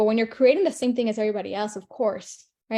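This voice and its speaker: Animated in tone, a woman speaks in a fairly high pitch. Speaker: online marketing coach. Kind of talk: live stream teaching. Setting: live video stream. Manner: fast.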